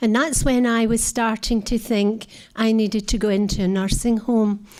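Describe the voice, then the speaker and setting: A woman with a Scottish accent, fairly high pitched, in a monotone, flat intonation at very even loudness, on a very clean recording with a silent background. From Scotland. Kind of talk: talk to an audience. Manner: slow.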